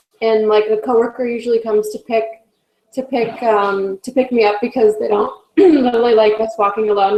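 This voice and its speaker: A woman with an American accent, a fairly high pitch, fairly even intonation and a fairly quick pace. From California. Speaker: health volunteer. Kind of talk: casual chat.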